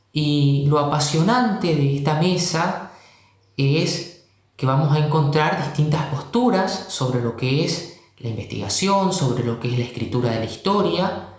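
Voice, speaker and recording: Lively in intonation and fairly slow, the speech comes with audible room echo and noticeable background noise. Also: man, fairly high pitch for a man. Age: 20s. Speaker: history teacher. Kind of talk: panel discussion. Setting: video call.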